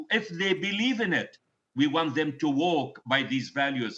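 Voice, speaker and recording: Pitched high for a man, this voice carries a Palestinian accent and moves at a moderate pace with ordinary pitch variation. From Palestine (Gaza). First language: Arabic. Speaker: medical doctor. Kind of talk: news interview answer. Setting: remote video link.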